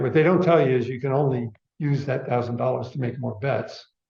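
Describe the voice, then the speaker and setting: A man with a somewhat breathy, medium-pitched voice speaks at a moderate pace with ordinary pitch variation. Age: 70s. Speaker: speaker giving a talk. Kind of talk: audience Q&A discussion.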